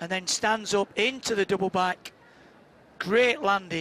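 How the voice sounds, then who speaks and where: Speaking at a moderate pace, a man projects a raised voice with a high pitch and a bright, sharp tone. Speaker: live gymnastics commentator. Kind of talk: live sports commentary. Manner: running play-by-play, clipped exclamations.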